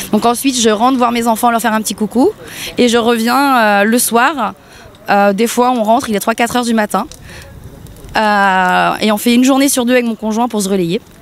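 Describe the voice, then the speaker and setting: Her pitch fairly high and her intonation fairly even, a woman speaks at a moderate pace with long, frequent pauses. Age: 30s. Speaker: protester. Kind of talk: street interview.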